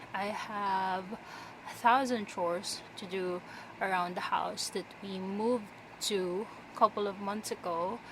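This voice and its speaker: Speaking at a very slow pace, a woman has a non-native accent. Her intonation stays fairly even. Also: medium pitch for a woman. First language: not English. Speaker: vlogger. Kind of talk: casual chat. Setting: bedroom floor.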